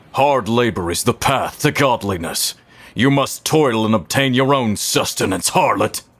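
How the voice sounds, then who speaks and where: A man puts on a character voice at a medium pitch, with lively intonation. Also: moderate pace. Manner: solemn, stern.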